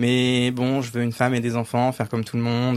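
A man speaks at a moderate pace. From Île-de-France, rural village north of Cergy. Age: 30s. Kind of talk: casual chat.

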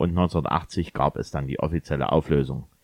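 A man speaks at a moderate pace. He has an ordinary speaking voice. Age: 40s. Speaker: DJ and podcast co-host. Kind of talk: casual chat.

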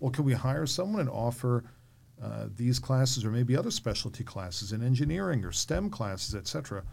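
A man speaks at a fairly quick pace in a medium pitch, with lively intonation and a somewhat breathy quality. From New York. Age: 50s. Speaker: podcast host, former school board member. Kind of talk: interview conversation.

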